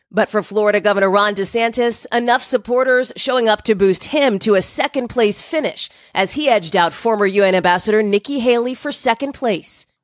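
A woman has a normal speaking voice, fairly high in pitch with ordinary pitch variation, moving at a fairly quick pace with hardly any pauses. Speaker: TV news correspondent. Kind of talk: live news report. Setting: on location in snowy New Hampshire.

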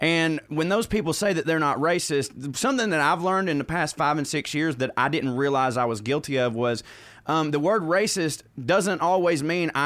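A man's fairly high voice in a Southern US accent, at a moderate pace with hardly any pauses, very even loudness and ordinary pitch variation. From US South, Georgia. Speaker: comedian. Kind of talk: casual chat.

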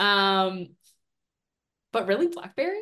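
A woman with an unremarkable speaking voice talks at a medium pitch and moderate pace, her intonation lively. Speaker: film industry consultant. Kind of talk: casual chat.

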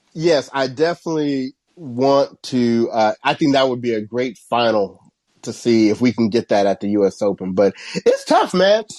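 A man's normal speaking voice with an American accent, medium pitch, lively intonation and a moderate pace, in a dry, close sound with no echo. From US Midwest, Cincinnati, Ohio. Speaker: tennis podcast co-host. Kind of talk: casual chat.

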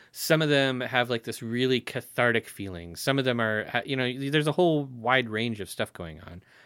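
A man speaks in a normal speaking voice at a medium pitch and a fairly quick pace, with hardly any pauses and ordinary pitch variation. His loudness swings a lot, on a very clean recording with a silent background. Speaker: interviewer, moderator. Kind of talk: casual chat.

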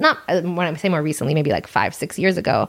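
Talking fast in an American accent, a woman uses a low pitch, lively intonation and vocal fry.

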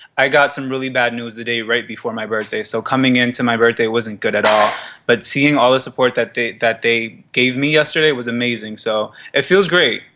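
A man of medium pitch speaks in an ordinary speaking voice, fairly quickly and with hardly any pauses, with fairly even intonation. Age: 20s. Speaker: fashion model. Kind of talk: casual interview. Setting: studio.

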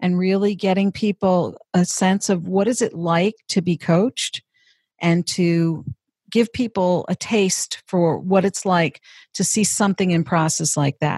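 A woman with a medium pitch and ordinary pitch variation speaks at a fairly slow pace in a somewhat breathy voice, her loudness very even, recorded dry and close with no echo against a quiet background. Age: 50s. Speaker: career and executive coach. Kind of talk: interview. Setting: office.

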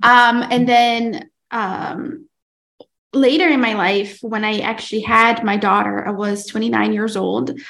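Audible room echo surrounds a woman speaking at a very slow pace in a fairly high pitch with ordinary pitch variation. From Brazil. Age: 30s. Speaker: podcast host and mom. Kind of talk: testimony.

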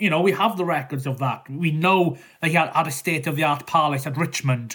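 With a Welsh accent, a man speaks at a moderate pace in a bright, sharp tone, his fairly high pitch showing ordinary variation. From South West Wales. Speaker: historian and author. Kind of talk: interview.

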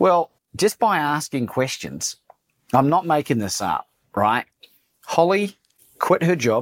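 A man's fairly high-pitched voice with very wide pitch swings, a fairly slow pace and long, frequent pauses, in a dry, close sound with no echo. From New Zealand, Christchurch. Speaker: motivational speaker and coach. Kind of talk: interview conversation. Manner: animated.

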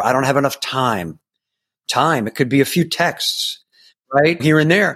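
With an American accent, a man with an ordinary speaking voice and fairly high pitch shows ordinary pitch variation in a very clean recording with a silent background. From New York. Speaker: mentor and motivational speaker. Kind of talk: interview.

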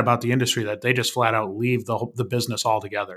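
With an American accent, a man speaks at a very fast pace. His tone is bright and sharp, his pitch is medium, and its variation is ordinary. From Wisconsin, small town. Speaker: recruiting company founder. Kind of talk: podcast interview.

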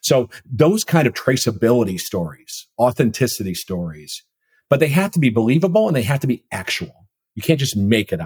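The speaker has an American accent and talks at a fairly quick pace with very wide pitch swings and a somewhat breathy quality. The sound is dry and close, with no echo. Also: man, medium pitch for a man. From Minnesota. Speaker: food company CEO. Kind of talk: interview conversation. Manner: halting, many fillers.

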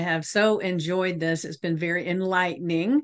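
A woman speaks in a normal speaking voice. Her pitch is medium, with ordinary variation. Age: 60s. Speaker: podcast host and life coach. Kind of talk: casual interview chat.

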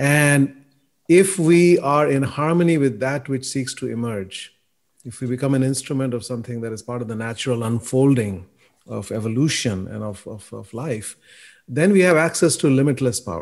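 An unremarkable speaking voice moves at a moderate pace with lively intonation. Its loudness swings a lot. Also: man, medium pitch for a man. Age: 60s. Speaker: podcast co-host and author. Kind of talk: interview.

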